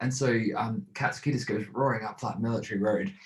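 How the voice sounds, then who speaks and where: A man with an Australian accent speaks at a medium pitch, somewhat breathily. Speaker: podcast host. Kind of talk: casual chat.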